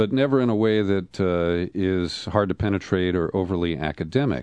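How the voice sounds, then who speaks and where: With a plain, everyday voice, a man speaks at a moderate pace in lively intonation. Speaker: radio host. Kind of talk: interview. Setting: studio.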